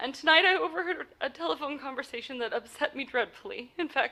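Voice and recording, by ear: Putting on a character voice, a woman talks fast at a high pitch, bright and sharp in tone, with vocal fry and lively intonation.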